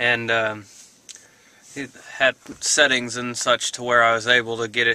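A man's monotone, flat delivery in a dry sound with no echo. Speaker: vlogger. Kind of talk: casual vlog chat. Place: car. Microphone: phone near.

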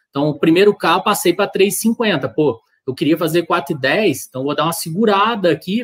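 A high-pitched man's voice at a moderate pace, with lively intonation against a quiet background. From Brazil. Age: 30s. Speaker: amateur marathon runner; guest. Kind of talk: casual chat. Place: home room.

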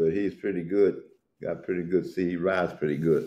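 A man with an American accent and a very deep, low pitch speaks at a moderate pace in a dark, mellow tone with fairly even intonation. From US South (Florida). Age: 80s+. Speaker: urban horseman and riding club elder; interviewee. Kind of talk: interview. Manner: halting. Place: home room. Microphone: video call.

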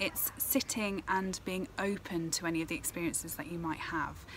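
A woman at a moderate pace, dry sound with no echo, light background noise. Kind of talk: tutorial. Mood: calm, gentle. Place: garden. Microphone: phone near.

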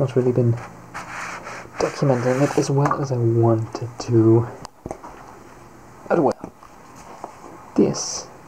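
Amid noticeable background noise, a man speaks very slowly in a monotone, flat intonation with long, frequent pauses. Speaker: costume maker. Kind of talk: casual talk to camera. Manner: hesitant, relaxed. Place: home room. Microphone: phone near.

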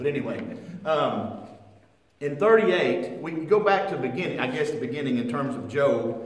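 Very wide swings of pitch from a male speaker, the room's echo clearly audible. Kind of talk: Bible class lecture. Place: church. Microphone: camera far.

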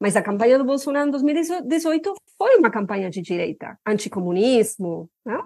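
With a Spanish accent, a woman speaks at a moderate pace in a fairly high pitch with a dark, mellow tone and very wide pitch swings. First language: Spanish (speaking Portuguese). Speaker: political scientist. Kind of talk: interview. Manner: halting.

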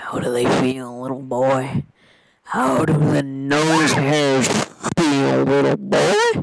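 Putting on a character voice, a man speaks at a medium pitch and a very slow pace. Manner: mocking, taunting.

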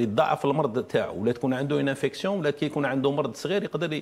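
A man with a fairly high-pitched, ordinary speaking voice talks with lively intonation. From Algeria. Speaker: dental surgery professor; guest. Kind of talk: TV interview. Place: studio.

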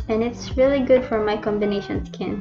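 Music plays in the background as a woman speaks at a fairly quick pace with ordinary pitch variation. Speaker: beauty vlogger. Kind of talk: makeup tutorial narration.

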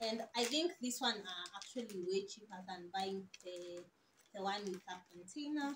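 At a moderate pace, a woman speaks at medium pitch with ordinary pitch variation, a fairly bright tone and a slightly husky edge.

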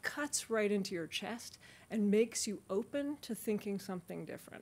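A woman's somewhat breathy voice sits at a medium pitch. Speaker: media executive; speaker. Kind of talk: panel talk. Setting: stage with audience. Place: hall. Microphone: podium.

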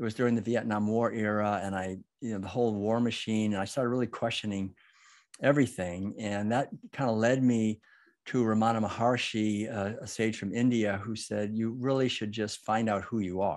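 Against a quiet background, a man with an American accent talks at a fairly quick pace in a fairly low voice with fairly even intonation. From US Northeast, Massachusetts. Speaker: author and educator. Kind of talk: interview conversation. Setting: video call. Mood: calm, reflective. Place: home room. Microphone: video call.

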